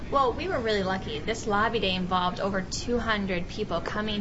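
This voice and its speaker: Noticeable background noise sits behind a woman speaking at a moderate pace with a medium pitch and fairly even intonation. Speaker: atheist organization administrator and lobbyist. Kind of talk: interview.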